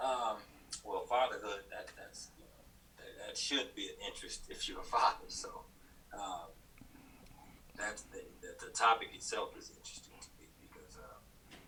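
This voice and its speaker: Room echo is audible as a man talks with an American accent, pausing long and often. His loudness swings widely. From US South, Chattanooga, Tennessee. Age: 40s. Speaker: podcast guest. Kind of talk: casual interview conversation. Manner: halting, many fillers and restarts.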